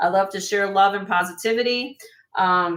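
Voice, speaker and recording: A woman talks at medium pitch with a northern US accent, her intonation monotone and flat. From US Midwest, Chicago area. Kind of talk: live sale stream. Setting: live stream. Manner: fast.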